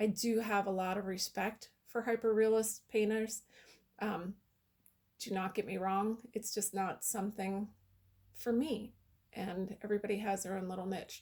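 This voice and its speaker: A woman's shaky, medium-pitched voice, monotone and flat, at a moderate pace. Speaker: painter. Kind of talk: casual talk to camera.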